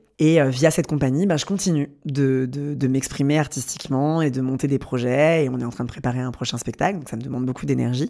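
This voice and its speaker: A man's fairly high, dark, mellow voice at a very fast pace, with fairly even intonation, on a very clean recording with a silent background. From Paris, France. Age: 30s. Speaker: choreographer and artist. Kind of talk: personal testimony interview. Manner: hesitant, repeats words.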